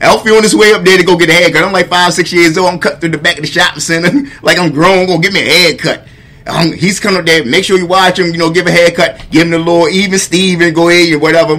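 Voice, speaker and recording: Over noticeable background noise, a man talks very fast with hardly any pauses. His high voice keeps a fairly even intonation. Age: 40s. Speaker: podcast host. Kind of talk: casual interview chat.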